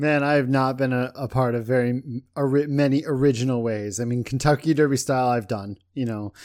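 An unremarkable speaking voice from a medium-pitched man, fairly quick and fairly even in intonation, on a very clean recording with a silent background. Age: 30s. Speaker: fantasy football league organizer. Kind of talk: casual chat.

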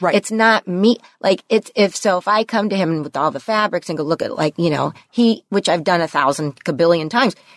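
A woman with an American accent and a medium pitch, talking at a fairly quick pace with hardly any pauses and ordinary pitch variation, in a dry, close sound with no echo. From San Fernando Valley, California. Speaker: podcaster. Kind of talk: casual interview chat. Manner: fast, halting.

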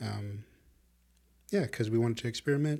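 In an American accent, a somewhat breathy man speaks at a moderate pace with ordinary pitch variation, in a very clean recording with a silent background. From Chicago. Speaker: podcast co-host. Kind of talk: casual chat. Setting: video podcast recording.

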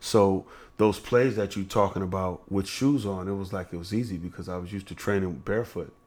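An unremarkable speaking voice from a man, fairly low in pitch, fairly quick and fairly even in intonation, on a very clean recording with a silent background. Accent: American. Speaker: former basketball player. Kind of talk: casual interview. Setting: restaurant.

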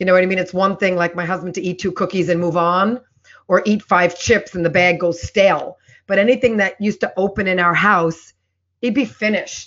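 Intonation fairly even, the woman's voice sits at a medium pitch. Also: fairly quick pace. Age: 40s. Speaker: health coach. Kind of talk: casual chat.

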